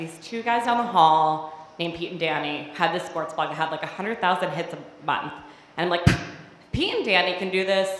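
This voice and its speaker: Audible room echo surrounds a woman talking at a fairly quick pace, her fairly low pitch showing ordinary variation. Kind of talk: personal storytelling performance. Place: stage. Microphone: handheld.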